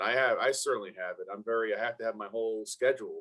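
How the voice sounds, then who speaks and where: Speaking in a Brooklyn accent, a man goes at a very fast pace with a medium pitch and ordinary pitch variation. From Brooklyn, New York. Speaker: former NFL player and motivational speaker. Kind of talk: casual interview chat.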